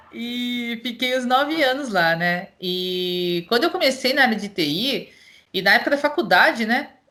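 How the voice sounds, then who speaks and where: A woman's high-pitched voice in a Paulista interior accent, bright and sharp in tone, with very wide pitch swings. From interior of São Paulo state, Brazil. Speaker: cloud solution architect. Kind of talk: casual interview chat.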